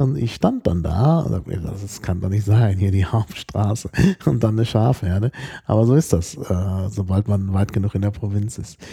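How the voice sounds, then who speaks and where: On a very clean recording with a silent background, a man speaks at a moderate pace in a fairly low, somewhat breathy voice with a dark, mellow tone. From Germany. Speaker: podcast co-host. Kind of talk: casual chat.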